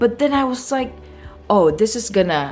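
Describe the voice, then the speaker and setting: Music plays in the background. The voice moves at a moderate pace with very wide pitch swings. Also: woman. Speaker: fashion vlogger. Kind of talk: casual vlog talk to camera.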